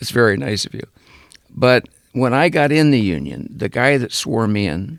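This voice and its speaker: The speaker has lively intonation and vocal fry, talking at a moderate pace. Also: man. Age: 80s+. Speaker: cinematographer and camera operator. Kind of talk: interview.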